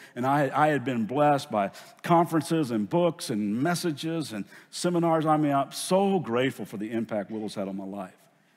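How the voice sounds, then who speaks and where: There's a Southern US accent in this man's speech. His fairly high voice moves with lively intonation. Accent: Southern US drawl. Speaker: pastor. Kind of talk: sermon. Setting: church. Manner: earnest, emotional.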